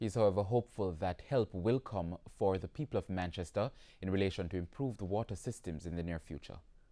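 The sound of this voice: A man talks at a fairly quick pace, his low voice dark and mellow in tone. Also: ordinary pitch variation.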